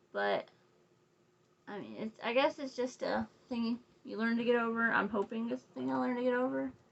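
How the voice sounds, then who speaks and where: A woman's fairly quick speech with long, frequent pauses and big swings in loudness. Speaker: crochet designer and makeup vlogger. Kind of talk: casual makeup tutorial chat. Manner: rambling, talkative.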